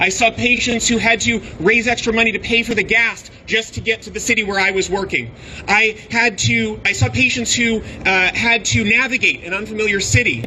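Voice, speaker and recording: A man with a high voice speaks at a moderate pace over noticeable background noise. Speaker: obstetrician speaking at rally. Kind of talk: rally speech. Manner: impassioned.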